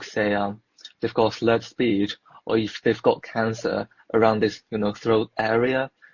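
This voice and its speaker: This man speaks at a fairly slow pace. His pitch is medium. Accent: Mandarin. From China. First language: Mandarin. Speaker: dietetics student. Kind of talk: casual chat. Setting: online live video chat.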